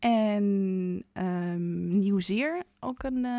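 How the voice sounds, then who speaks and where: The woman is heard in a very clean recording with a silent background. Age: 20s. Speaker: musical theatre performer. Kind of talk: casual chat. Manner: halting.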